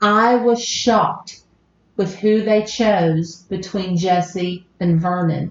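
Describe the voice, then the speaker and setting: A woman with an American accent at medium pitch, at a very slow pace, with very even loudness and fairly even intonation. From US South, southern West Virginia. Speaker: podcast host. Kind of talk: casual chat.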